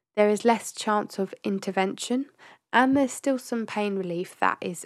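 At a moderate pace, a woman talks in a medium pitch with ordinary pitch variation on a very clean recording with a silent background. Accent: English. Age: 20s. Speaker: podcast host. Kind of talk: casual monologue.

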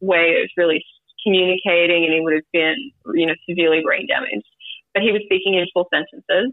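Talking at a fairly quick pace with an Australian accent, a woman uses a medium pitch and ordinary pitch variation. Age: 30s. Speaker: grief podcast guest. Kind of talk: casual interview, personal story.

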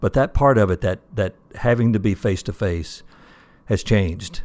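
A man with a Southern US accent talks at a fairly quick pace in a very clean recording with a silent background. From US South. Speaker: retired association president. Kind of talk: casual interview. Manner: repeats words, hesitant.

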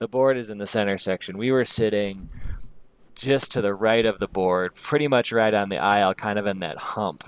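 An American-accented man has an unremarkable speaking voice, fairly low, with ordinary pitch variation. He talks at a fairly slow pace in a dry, close sound with no echo. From US Midwest. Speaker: music podcast co-host. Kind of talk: casual chat.

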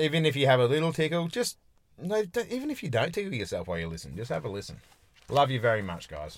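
A man with an Australian accent talks very fast in a fairly high pitch, his voice swinging very widely up and down. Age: 30s. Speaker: podcast co-host. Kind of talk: casual chat. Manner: animated.

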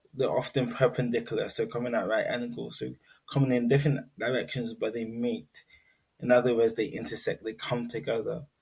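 In a London accent, a man at medium pitch speaks somewhat breathily, at a fairly quick pace, with fairly even intonation. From London, England (Nigerian heritage). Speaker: research assistant and neurodiversity advocate. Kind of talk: interview.

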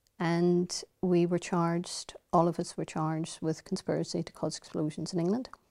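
In a Northern Irish accent, a woman with a dark, mellow tone and fairly low pitch speaks at a moderate pace in a flat monotone, the sound dry and close with no echo on a very clean recording with a silent background. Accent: Derry Northern Irish. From Derry, Northern Ireland. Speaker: politician. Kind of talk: interview.

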